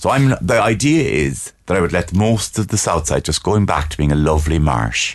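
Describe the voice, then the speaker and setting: A man with a Cork accent, very deep and low in pitch with very wide pitch swings, vocal fry, very even loudness, a moderate pace and hardly any pauses. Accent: posh Cork. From Cork, Ireland (Blackrock Road). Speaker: comedian. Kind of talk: comic in-studio banter. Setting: studio. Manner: haughty, affected.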